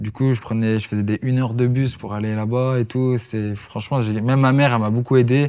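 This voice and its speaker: A man at a fairly quick pace, flat and monotone, with hardly any pauses. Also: medium pitch for a man. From France, Lyon area (Vénissieux, Givors). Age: 20s. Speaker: MMA fighter. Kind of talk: casual interview.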